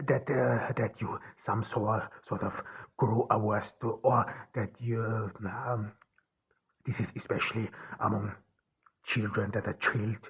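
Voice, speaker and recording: Speaking at a medium pitch with a non-native accent, a man talks fairly slowly in a somewhat breathy, monotone, flat way, with long, frequent pauses. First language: not English. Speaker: podcast host. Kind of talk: solo podcast monologue. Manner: halting, many fillers and restarts.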